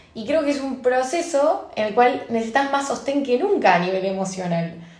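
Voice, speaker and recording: The pitch varies in an ordinary way. Audible room echo is present. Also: woman. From Argentina. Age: 20s. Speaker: advertising post-production worker. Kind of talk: casual chat.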